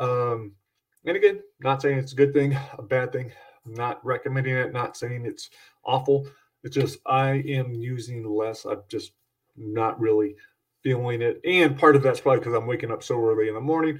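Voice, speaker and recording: The man has a medium pitch and a somewhat breathy voice. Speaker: podcast host and horror author. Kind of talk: casual solo podcast monologue. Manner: upbeat, fast, rushed.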